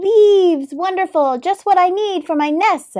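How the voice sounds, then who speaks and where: Squeaky and pitched extremely high, this put-on character voice moves along at a moderate pace. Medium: read story. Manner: cheerful, brisk.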